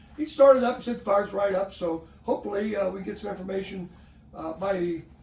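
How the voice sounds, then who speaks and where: A man's high-pitched voice at a very fast pace, with ordinary pitch variation and noticeable background noise. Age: 70s. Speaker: sports referee and umpire. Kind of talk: casual chat.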